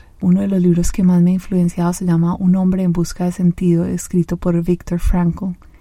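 A woman speaks at a moderate pace in a fairly low, somewhat breathy voice with a dark, mellow tone. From Colombia, Medellín. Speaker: podcast host and life coach. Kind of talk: solo podcast monologue.

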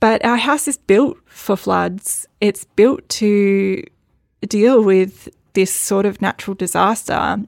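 In a very clean recording with a silent background and a dry, close sound with no echo, a woman with an Australian accent talks at a very slow pace, her medium pitch moving with ordinary variation. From Northern Rivers, New South Wales, Australia. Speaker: midwife and flood survivor. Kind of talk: personal storytelling monologue.

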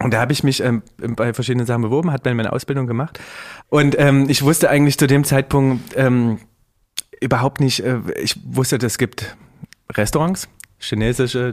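A man with a normal speaking voice talks at medium pitch and a moderate pace with ordinary pitch variation. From Saxony, Riesa. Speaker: chef. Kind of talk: casual chat. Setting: studio.

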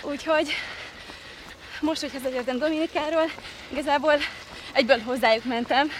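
A woman's high-pitched voice with fairly even intonation and long, frequent pauses, against noticeable background noise. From Hungary, Kazincbarcika. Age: 20s. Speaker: reality show contestant and former athlete. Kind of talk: casual interview while running. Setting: outdoors, park island.

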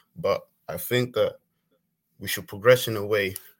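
A man with a non-native accent at a moderate pace. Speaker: football fan caller. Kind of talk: call-in football debate. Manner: halting.

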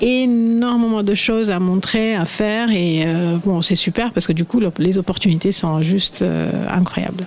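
Noticeable background noise sits behind a woman speaking at medium pitch with ordinary pitch variation. She talks at a fairly slow pace, her loudness very even. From India, Assam (north-east). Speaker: fashion shop owner. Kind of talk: radio panel discussion.

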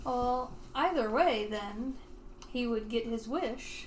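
A woman speaks very slowly in a fairly high pitch. Noticeable background noise runs underneath. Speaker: tabletop game player. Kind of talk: tabletop roleplaying podcast, in-character and banter.

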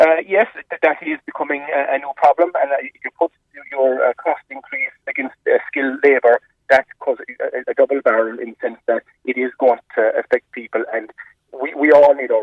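A man with a Cork accent talks at a moderate pace. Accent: Cork Irish. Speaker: local councillor. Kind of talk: radio interview.

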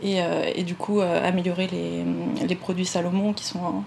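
Against noticeable background noise, a woman talks in a medium pitch with ordinary pitch variation. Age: 30s. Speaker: naturopath. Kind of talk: interview conversation.

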